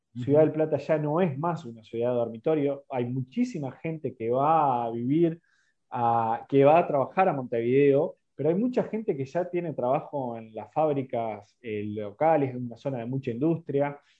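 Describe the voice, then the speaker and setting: Someone speaks at a moderate pace with ordinary pitch variation. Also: man, fairly high pitch for a man. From Uruguay, San José de Mayo. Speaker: local politician. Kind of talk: interview. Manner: hesitant, repeats words. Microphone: connectivity problems.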